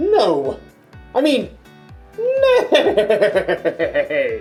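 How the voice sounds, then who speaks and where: Someone uses a put-on character voice at extremely high pitch. Faint music plays in the background. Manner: silly, comedic.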